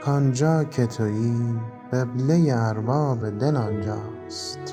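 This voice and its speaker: Music plays behind a man speaking at a very slow pace. His pitch rises and falls in an ordinary way. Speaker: poetry reciter. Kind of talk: poetry reading with background music.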